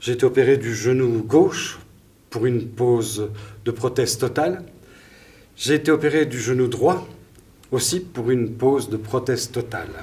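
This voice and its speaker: A man with a medium pitch talks at a fairly slow pace with long, frequent pauses, his somewhat breathy, dark, mellow voice showing ordinary pitch variation amid audible room echo. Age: 60s. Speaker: storyteller in a stage performance. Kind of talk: personal storytelling on stage.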